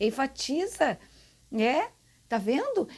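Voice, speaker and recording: A woman speaks in a high voice at a very slow pace. The recording is very clean with a silent background. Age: 60s. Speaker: gardening channel host, landscape designer. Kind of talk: casual tutorial to camera. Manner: animated.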